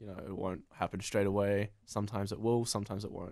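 Fairly quick speech from a man with a New Zealand accent. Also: quiet background. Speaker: comedy video creator. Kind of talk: casual interview.

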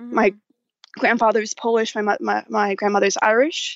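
With an American accent, a woman talks in an unremarkable speaking voice pitched fairly high. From Dallas, Texas. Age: 20s. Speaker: listener. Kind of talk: casual chat. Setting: phone call.

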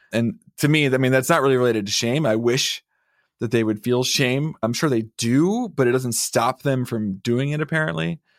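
At a moderate pace, a man with a plain, everyday voice speaks at medium pitch with ordinary pitch variation. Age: 30s. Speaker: shame researcher and author, podcast producer.

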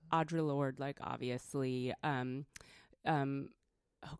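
Recorded very cleanly over a silent background, a woman with a West Coast American accent and a very deep, low voice sounds dry and close with no echo. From California. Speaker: feminist activist and creative director. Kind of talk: interview conversation. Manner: soft-spoken.

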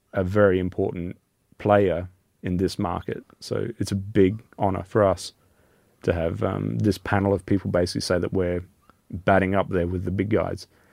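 A man with an Australian accent, very deep and low in pitch, at a moderate pace with fairly even intonation, on a very clean recording against a silent background. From Australia, Alice Springs. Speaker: chocolate maker, business owner. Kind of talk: interview.

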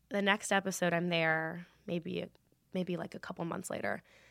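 A bright, sharp voice with an American accent at a fairly quick pace, on a very clean recording with a silent background. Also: woman. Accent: sometimes mistaken for US South. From Los Angeles, San Fernando Valley. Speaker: actor. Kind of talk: casual chat. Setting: studio.

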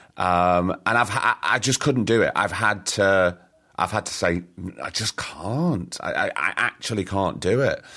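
A man with a Lancashire accent speaks at a fairly slow pace and a fairly low pitch, his tone bright and sharp. The recording is very clean, with a silent background. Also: ordinary pitch variation. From northern England, Blackpool. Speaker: podcast host and actor. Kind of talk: casual chat.

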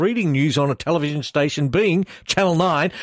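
At a moderate pace, a man is talking. His voice sounds dry and close, without any echo. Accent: Australian. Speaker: radio host. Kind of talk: casual radio interview. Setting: radio studio.

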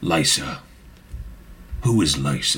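A man puts on a character voice. It is raspy and very deep. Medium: actual play. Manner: stiff, formal phrasing.

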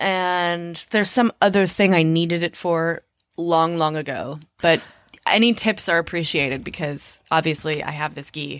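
A woman talks at a moderate pace in a plain, everyday voice, fairly low in pitch with ordinary pitch variation. The recording is very clean, with a silent background. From Minneapolis, Minnesota, US Midwest. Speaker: comedian and actor. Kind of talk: casual chat.

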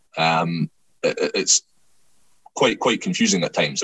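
A man with a Scottish accent, speaking at a fairly quick pace. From Scotland. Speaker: rugby commentator and writer. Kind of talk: casual chat.

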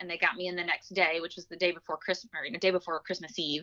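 The speaker is a woman. Her pitch is fairly low. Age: 40s. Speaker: physician assistant, cancer survivor. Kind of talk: testimony.

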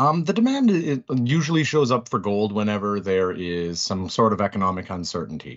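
This man's fairly low voice makes very wide pitch swings. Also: fairly quick pace. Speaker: financial commentator. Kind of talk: radio interview.

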